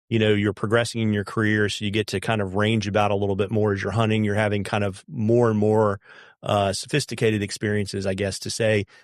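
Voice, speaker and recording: Over a silent background in a very clean recording, a man with an American accent speaks at a very fast pace in a monotone, flat intonation. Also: fairly low pitch for a man. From US, Central Virginia. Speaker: podcast host. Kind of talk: podcast interview.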